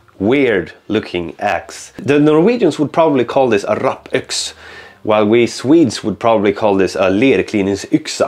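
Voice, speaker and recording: Faint background music behind a man's moderately paced speech. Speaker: channel host. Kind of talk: casual vlog outro explanation. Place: workshop. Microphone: lapel.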